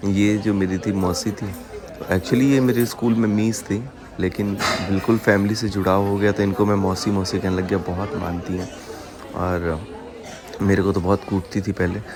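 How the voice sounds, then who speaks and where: Crowd noise sits in the background and the room echo is audible. A man talks at a fairly slow pace in a fairly low pitch with fairly even intonation. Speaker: vlogger. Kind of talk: casual vlog narration.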